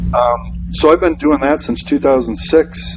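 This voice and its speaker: A man speaks with an American accent. There is noticeable background noise. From Wisconsin. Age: 40s. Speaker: pastor and church consultant. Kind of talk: interview conversation. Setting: pastor's office.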